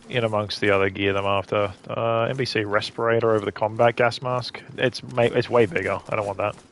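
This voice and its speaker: Talking at a fairly quick pace with hardly any pauses, a man keeps his intonation fairly even against noticeable background noise. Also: medium pitch for a man. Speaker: gaming streamer. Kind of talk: live gameplay commentary. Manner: fast.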